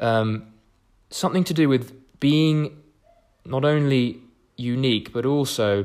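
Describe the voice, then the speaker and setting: This is a man with a southern English accent. His intonation is lively. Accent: English (southern, educated). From England. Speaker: podcast host, coach. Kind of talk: casual solo monologue. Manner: fast; rambling, hesitant fillers.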